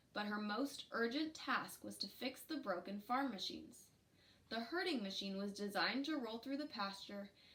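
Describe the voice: The recording consists of plain reading aloud.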